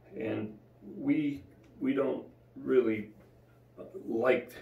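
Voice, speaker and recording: Audible room echo around a man's speech. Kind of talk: devotional bible teaching. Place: home room. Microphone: camera far.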